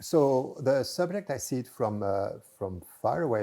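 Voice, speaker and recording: A man speaks with a French accent in a dark, mellow tone. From France. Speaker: mathematician. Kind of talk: interview. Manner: halting.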